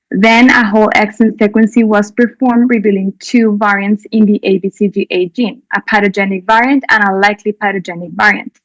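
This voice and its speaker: Hardly any pauses break up a woman's fairly quick speech in a Spanish accent, her fairly high pitch and fairly even intonation heard in a dry, close sound with no echo. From Colombia. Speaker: doctor presenting a clinical case. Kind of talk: conference presentation.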